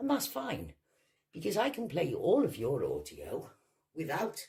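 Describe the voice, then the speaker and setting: With a Welsh accent, a woman speaks at a fairly slow pace. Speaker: video blogger. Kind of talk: angry rant. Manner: animated.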